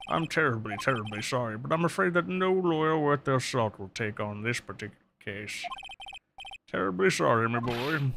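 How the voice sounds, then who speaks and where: Doing a put-on character voice, a man uses a pompous tone, lively intonation, medium pitch and a moderate pace. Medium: game stream. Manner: pompous, old-fashioned, throat-clearing.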